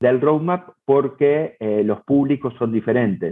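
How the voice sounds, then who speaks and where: A man talks at a very slow pace in a fairly high voice. His intonation is lively. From Argentina, Buenos Aires. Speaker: head of product. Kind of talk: interview. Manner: halting, many repetitions.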